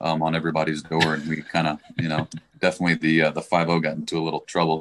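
Someone talks at a very fast pace with an American accent. The intonation stays monotone and flat. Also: man. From Texas, Dallas. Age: 40s. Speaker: government contractor, fantasy football player. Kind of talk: casual chat.

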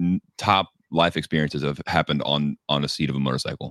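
This man's voice has ordinary pitch variation and a dry, close sound with no echo. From Texas. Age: 20s. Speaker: motorcycle rider. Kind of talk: casual chat. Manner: halting.

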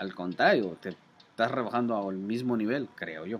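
A very clean recording over a silent background, at a moderate pace. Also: man. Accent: Mexican. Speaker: podcast co-host. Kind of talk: casual chat. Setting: outdoors.

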